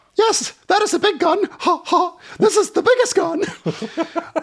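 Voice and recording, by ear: A man's squeaky, put-on character voice, extremely high in pitch, at a fairly slow pace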